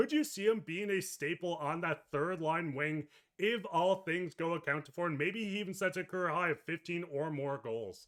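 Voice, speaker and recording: A loud man's voice, high-pitched, at a moderate pace with ordinary pitch variation and hardly any pauses. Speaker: sports podcast host. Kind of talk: casual sports talk.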